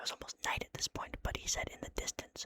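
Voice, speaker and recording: This is whispering. It goes at a very fast pace. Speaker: ASMR channel host reading a horror story. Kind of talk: horror story narration, read in first person. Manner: whispered, casual, jokey between story parts.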